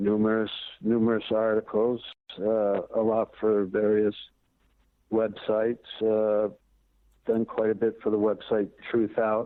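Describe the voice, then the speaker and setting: A man with an American accent speaks at a fairly low pitch in a flat monotone, with very even loudness and long, frequent pauses. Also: fairly slow pace. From US Northeast, Burlington, Vermont. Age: 60s. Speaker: author and investigative reporter. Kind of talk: interview. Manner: halting, many fillers.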